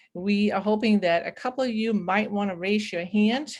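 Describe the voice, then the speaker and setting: Speaking at a moderate pace, a woman with a Danish accent has a medium pitch. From Denmark. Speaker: webinar moderator. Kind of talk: online webinar facilitation. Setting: video call.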